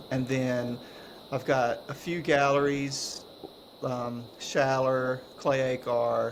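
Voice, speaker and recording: A man's relaxed, medium-pitched voice at a very slow pace, monotone and flat, over noticeable background noise. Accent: North Carolina. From North Carolina, Cleveland County (Shelby). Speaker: potter. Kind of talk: casual chat. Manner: relaxed, slurring words.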